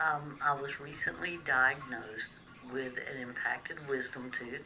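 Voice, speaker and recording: With a Southern US accent, a woman talks very slowly in a very deep, low pitch with ordinary pitch variation, amid noticeable background noise and audible room echo. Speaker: vlogger sharing personal medical experience. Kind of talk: personal vlog testimony. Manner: hesitant, frequent fillers.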